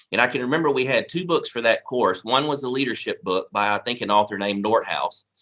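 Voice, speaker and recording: With a Southern US accent, a man talks in a bright, sharp tone and lively intonation. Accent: southern drawl. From Mississippi. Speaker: college administrator. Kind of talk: ceremony speech. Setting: recorded video address.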